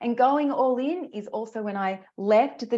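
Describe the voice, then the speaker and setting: With an Australian accent, a woman speaks at a moderate pace in a fairly high pitch. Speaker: career coach. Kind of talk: webinar presentation. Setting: live online masterclass. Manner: animated.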